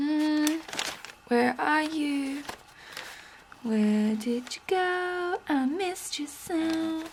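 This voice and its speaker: The speaker has an Australian accent and very wide pitch swings. Noticeable background noise sits behind the voice. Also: woman. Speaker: junk journal artist, craft YouTuber. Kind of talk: crafting tutorial, casual chat. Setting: home craft table. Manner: casual, chatty.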